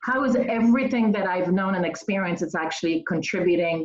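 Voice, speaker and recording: A woman with a Polish accent, fairly low in pitch, with ordinary pitch variation. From Poland. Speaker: nonprofit executive. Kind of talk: interview.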